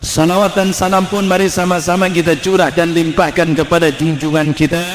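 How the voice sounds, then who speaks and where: Monotone, flat intonation at a fairly quick pace, very even loudness, audible room echo and noticeable background noise. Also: man, high pitch for a man. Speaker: Islamic preacher. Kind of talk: sermon. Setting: religious gathering with audience.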